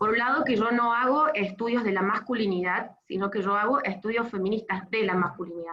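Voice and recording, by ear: Speaking at a fairly quick pace, a woman has a bright, sharp tone, medium pitch and ordinary pitch variation.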